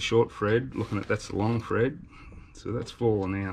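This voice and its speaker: Moderate-paced speech in an Australian accent, with light background noise. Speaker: YouTube travel vlogger. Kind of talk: DIY tutorial. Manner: casual, halting with fillers. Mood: relaxed, cheerful. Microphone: phone near.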